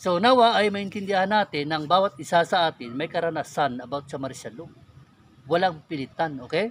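Speaking at a moderate pace, a man uses a fairly high pitch and lively intonation. The sound is dry with no echo, over light background noise. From Philippines, Negros Occidental; Philippines. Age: 40s. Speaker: YouTuber, religious and political commentator; YouTuber, political commentator. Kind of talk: personal testimony and political commentary. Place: forest. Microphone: phone near.

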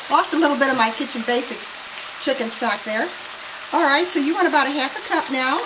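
Noticeable background noise accompanies a woman talking at a moderate pace with ordinary pitch variation. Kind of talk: tutorial. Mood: warm, cheerful. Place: kitchen. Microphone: camera far.

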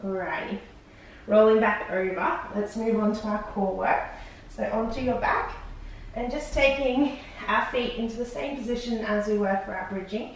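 A woman speaks at a moderate pace with fairly even intonation, in strong room echo and light background noise. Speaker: fitness instructor. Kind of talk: exercise class instruction. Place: home room.

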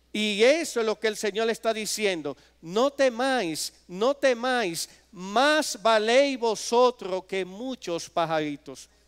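The background is quiet as a man speaks at a very slow pace. His pitch is high and his intonation lively. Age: 50s. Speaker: preacher. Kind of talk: sermon. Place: church. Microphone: podium.

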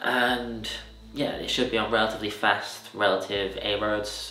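A man's monotone, flat delivery, with audible room echo and light background noise. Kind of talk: interview answer. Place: home room.

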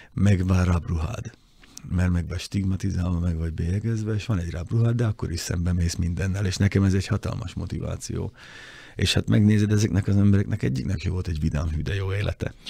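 Very deep and low in pitch, a man's somewhat breathy voice has a dark, mellow tone and moves at a very fast pace over a quiet background. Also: ordinary pitch variation, dry sound with no echo. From Hungary. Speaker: motoring journalist. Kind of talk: casual chat. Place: studio. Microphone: studio mic.

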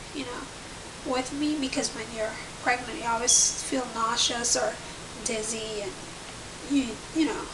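A woman talks at a moderate pace in a high pitch, her intonation fairly even, as noticeable noise runs in the background. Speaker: pregnancy vlogger. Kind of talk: casual vlog chat. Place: home room. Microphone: webcam.

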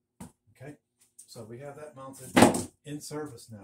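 A man's fairly slow speech with noticeable noise behind it. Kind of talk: tutorial. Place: workshop. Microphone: camera far.

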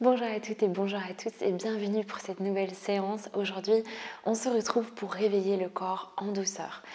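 Delivery moves at a moderate pace. Intonation is monotone, flat throughout. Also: woman. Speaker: yoga instructor. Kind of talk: guided yoga instruction. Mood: calm, soft, soothing. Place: home room.

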